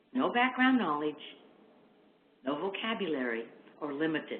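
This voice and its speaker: A woman's very deep, low voice with very wide pitch swings, audible room echo and noticeable background noise. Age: 60s. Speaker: literacy education expert. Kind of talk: webinar lecture. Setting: online webinar.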